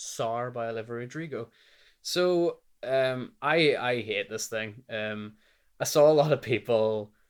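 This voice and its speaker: In a Northern Irish accent, a man speaks at a medium pitch and a fairly slow pace. His pitch varies in an ordinary way, and the recording is very clean with a silent background. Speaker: music reviewer. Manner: casual, lots of filler words.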